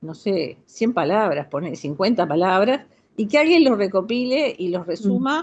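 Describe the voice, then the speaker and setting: A woman speaks at a fairly slow pace in a medium pitch, her voice swinging very widely up and down. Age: 70s. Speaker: audience participant in cultural talk. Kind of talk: group discussion comment. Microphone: connecting via new tablet.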